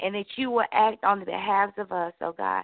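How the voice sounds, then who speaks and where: With ordinary pitch variation, a woman speaks in a plain, everyday voice at a fairly slow pace. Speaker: prayer participant. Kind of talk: intercessory prayer. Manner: fervent, frequent oh God interjections.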